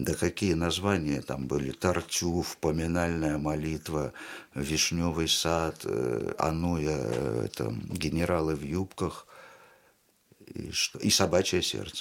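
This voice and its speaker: At a very slow pace, a man speaks with long, frequent pauses. His voice is very deep and low, with vocal fry. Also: ordinary pitch variation. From Uzbekistan, Tashkent. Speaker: theatre director and actor. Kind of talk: casual interview chat. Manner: animated.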